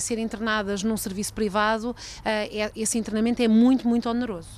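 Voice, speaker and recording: Flat and monotone, a woman speaks at a moderate pace in a fairly high pitch. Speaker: radio health reporter. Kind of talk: radio report narration.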